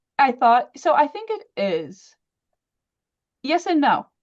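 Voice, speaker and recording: This woman's voice moves through very wide pitch swings. Her pitch rises and falls dramatically. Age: 20s. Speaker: brain injury survivor. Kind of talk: interview. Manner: stuttering at times; halting.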